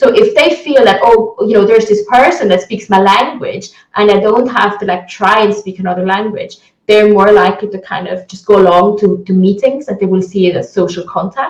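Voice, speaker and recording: An Italian accent at a fairly quick pace. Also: woman, medium pitch for a woman, ordinary pitch variation. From Italy. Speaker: criminologist. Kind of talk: interview. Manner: hesitant, many fillers.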